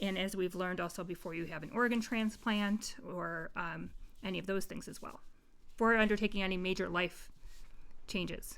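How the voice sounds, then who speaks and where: A woman's ordinary speaking voice at medium pitch, moderate pace and with fairly even intonation. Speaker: podcast host. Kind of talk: casual podcast discussion.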